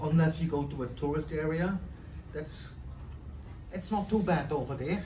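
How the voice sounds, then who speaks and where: Heard with audible room echo, a man speaks at a moderate pace in a fairly high pitch, his dark, mellow tone carrying vocal fry and ordinary pitch variation. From Netherlands. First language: Dutch. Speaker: chef and farmer interviewed by students. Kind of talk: interview. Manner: halting.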